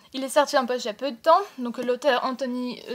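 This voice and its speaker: A woman's high-pitched voice moves at a moderate pace. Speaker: book vlogger. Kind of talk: casual book haul monologue. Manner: hesitant with many fillers.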